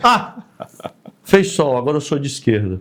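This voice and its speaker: With lively intonation, a man at medium pitch speaks at a moderate pace. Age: 60s. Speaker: politician, retired army colonel. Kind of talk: interview. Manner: animated.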